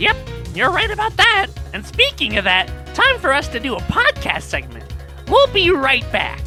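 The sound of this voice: A woman does a put-on character voice at a moderate pace, high-pitched with very wide pitch swings and a bright, sharp tone, while faint music plays in the background.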